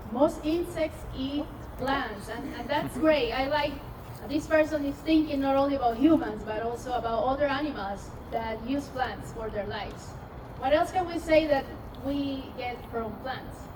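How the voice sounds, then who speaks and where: At a moderate pace and with ordinary pitch variation, the voice comes through audible room echo and noticeable background noise. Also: woman, high pitch for a woman. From Peru, Amazon highlands. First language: Spanish. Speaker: scientist. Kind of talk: public science talk. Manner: interactive, engaging audience.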